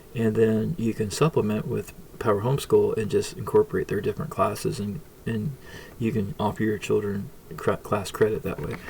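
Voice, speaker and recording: This man speaks fairly quickly. Background noise is clearly present. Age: 50s. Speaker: homeschooling parent reviewing software. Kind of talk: tutorial. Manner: fast; halting.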